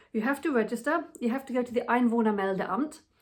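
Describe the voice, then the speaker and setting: A woman with a British accent, fairly quick in pace, with ordinary pitch variation. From England, with childhood in Germany. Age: 40s. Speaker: expat vlogger. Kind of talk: casual monologue. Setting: at home.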